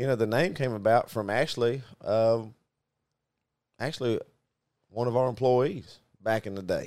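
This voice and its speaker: A man speaks with a Southern US accent and ordinary pitch variation. He leaves long, frequent pauses. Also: medium pitch for a man, moderate pace. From US Deep South (Arkansas). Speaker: business owner and podcast co-host. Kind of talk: casual chat.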